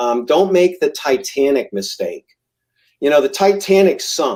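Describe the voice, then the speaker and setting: Speaking at a fairly slow pace, the man's intonation is lively. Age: 60s. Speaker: realtor. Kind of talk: casual chat. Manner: hesitant with many ums.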